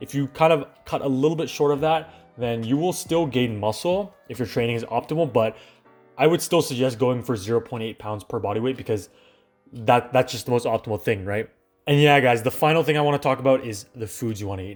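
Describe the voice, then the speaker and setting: A man with a Canadian accent at a fairly quick pace, ordinary pitch variation, music in the background. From Canada. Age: young. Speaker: fitness YouTuber. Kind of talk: casual talk to camera.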